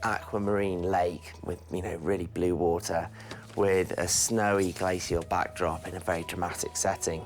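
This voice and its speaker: With an English accent and an enthusiastic tone, a man speaks at a moderate pace in a very deep, low pitch over noticeable background noise. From England, London. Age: 40s. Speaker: ice climber. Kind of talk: interview.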